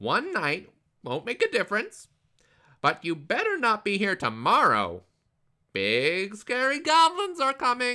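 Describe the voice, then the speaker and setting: The speaker uses a put-on character voice. The recording is very clean, with a silent background. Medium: read story.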